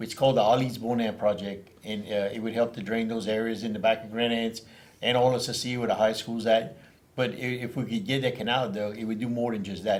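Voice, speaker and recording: Very fast and fairly even in intonation, a man's speech competes with noticeable background noise. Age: 60s. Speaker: parish council member. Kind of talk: casual chat. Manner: halting, many repetitions.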